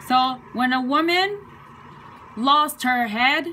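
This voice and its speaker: A woman talks in a high pitch while noticeable background noise runs underneath. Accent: Chinese. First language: Chinese. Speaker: video blogger. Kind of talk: casual explainer talk. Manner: casual, hesitant with fillers.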